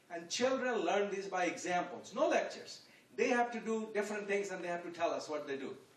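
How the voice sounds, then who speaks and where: A high-pitched man talks at a fairly quick pace with ordinary pitch variation amid audible room echo. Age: 70s. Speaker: guest speaker at youth event. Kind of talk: public talk. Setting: room with audience.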